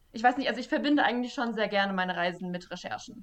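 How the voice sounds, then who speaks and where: With a normal speaking voice, a woman speaks at a fairly high pitch and ordinary pitch variation. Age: 20s. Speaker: journalist and fact-checker. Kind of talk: casual interview.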